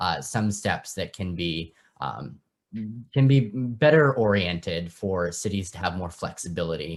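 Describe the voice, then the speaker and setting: Speaking slowly in an American accent, a man has a very deep, low pitch and lively intonation. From Oakland, California. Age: 20s. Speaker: political candidate. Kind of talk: candidate interview. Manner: hesitant, many fillers.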